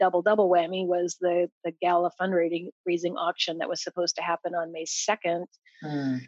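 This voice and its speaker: In a dry, close recording with no echo, a woman talks at a fairly quick pace with a fairly low pitch and monotone, flat intonation. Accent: American. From Idaho, US. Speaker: event procurement consultant. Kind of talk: casual interview.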